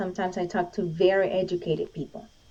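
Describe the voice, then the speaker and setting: A woman with a Spanish accent at a moderate pace. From Venezuela. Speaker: Olympic shooter and gun rights advocate. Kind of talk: interview conversation.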